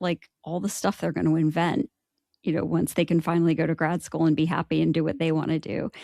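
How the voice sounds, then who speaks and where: This woman's voice has a dark, mellow tone, fairly low pitch and vocal fry. The sound is dry and close, with no echo. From United States. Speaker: gifted education expert. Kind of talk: podcast interview. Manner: loud, boisterous; animated.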